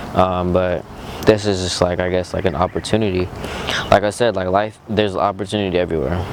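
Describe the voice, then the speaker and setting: Over noticeable background noise, a man with a very deep, low pitch speaks at a very fast pace. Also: fairly even intonation. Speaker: motivational vlogger. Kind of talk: motivational monologue. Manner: monotone; calm.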